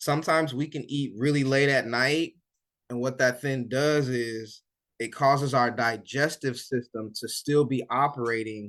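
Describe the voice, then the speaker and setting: A man speaks at a moderate pace with fairly even intonation in an ordinary speaking voice. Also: quiet background. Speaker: weight loss coach. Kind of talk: live online coaching session.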